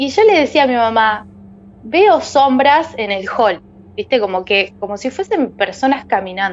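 Speaking at a fairly slow pace in a Rioplatense accent, a woman uses a high voice with very wide pitch swings. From Argentina, Buenos Aires province. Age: 30s. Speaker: storyteller guest. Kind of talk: personal testimony.

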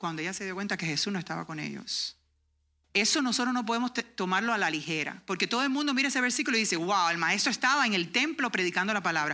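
A very fast pace of speech, very cleanly recorded against a silent background. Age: 40s. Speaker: homeschooling parent and workshop speaker. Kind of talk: workshop talk and testimony. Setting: conference workshop with audience.

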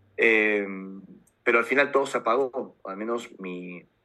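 Medium in pitch, this man's voice has a bright, sharp tone. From Peru, Lima. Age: 40s. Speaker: UFO contactee and author. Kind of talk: interview testimony.

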